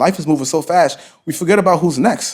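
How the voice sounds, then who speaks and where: The man's tone is animated as he talks. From Honduras (Garifuna town), raised in the Bronx. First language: Garifuna. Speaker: entrepreneur and youth mentor. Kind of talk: casual interview.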